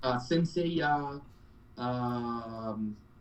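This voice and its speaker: A man speaks with a Spanish accent and ordinary pitch variation. Audible room echo surrounds his voice. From Colombia. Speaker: cosplayer. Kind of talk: interview. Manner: animated.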